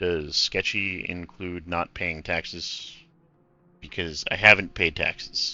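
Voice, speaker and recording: Putting on a character voice, a man speaks at a fairly slow pace with a very deep, low pitch. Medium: game stream. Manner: awkward, self-deprecating.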